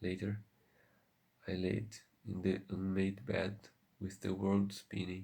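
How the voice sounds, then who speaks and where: A soft-spoken man talks at a very slow pace with a fairly low pitch. His voice is somewhat breathy and his intonation is monotone and flat. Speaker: ASMR content creator. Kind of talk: ASMR soft-spoken story reading.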